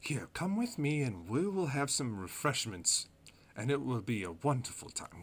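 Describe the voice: A man puts on a squeaky character voice at a medium pitch. He keeps a moderate pace.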